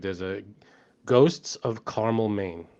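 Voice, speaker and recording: At a fairly slow pace, a man talks in an unremarkable speaking voice with a fairly low pitch. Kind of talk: casual podcast conversation.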